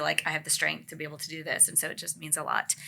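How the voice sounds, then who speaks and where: A woman speaks with a very deep, low pitch. Noticeable background noise runs under her voice. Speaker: podcast host. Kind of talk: panel discussion. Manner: loud.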